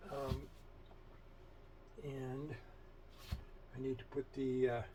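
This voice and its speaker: Medium-pitched male speech with noticeable background noise. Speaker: sewing machine restorer. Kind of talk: casual tutorial talk to camera. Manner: rambling, hesitant, with long pauses.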